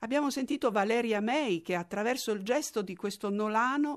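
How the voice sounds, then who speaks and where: Speech at a moderate pace with lively intonation sits over a quiet background. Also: woman. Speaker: documentary narrator. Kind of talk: scripted narration.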